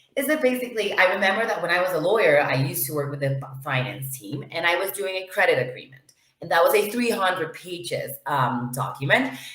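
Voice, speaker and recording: A woman with a fairly low voice talks very fast, her pitch swinging widely, with audible echo from the room. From Venezuela. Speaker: lawyer and knowledge management officer. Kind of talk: interview. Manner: hesitant, many fillers.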